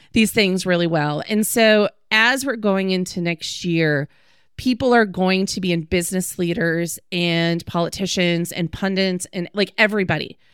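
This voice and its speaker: A woman with an American accent and a medium pitch uses a plain, everyday voice with ordinary pitch variation, in a very clean recording with a silent background. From Wisconsin, Green Bay. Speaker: tech policy expert. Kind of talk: podcast interview.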